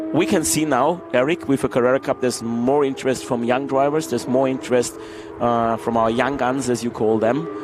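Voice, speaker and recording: With an Austrian accent, a man speaks at a moderate pace and medium pitch, with ordinary pitch variation over noticeable background noise. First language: German. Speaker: racing team executive. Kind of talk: interview during live race broadcast.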